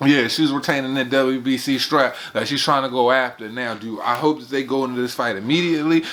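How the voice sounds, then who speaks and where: Noticeable background noise sits under speech delivered at a very fast pace. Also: man. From United States. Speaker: boxing commentator, channel host. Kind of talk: casual monologue. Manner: animated.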